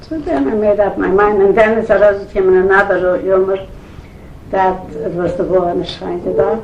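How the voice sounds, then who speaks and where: Heard through audible room echo and noticeable background noise, a woman talks with ordinary pitch variation. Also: medium pitch for a woman, moderate pace. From Eastern Europe. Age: 80s+. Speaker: grandmother interviewed about her life. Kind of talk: oral history interview. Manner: halting.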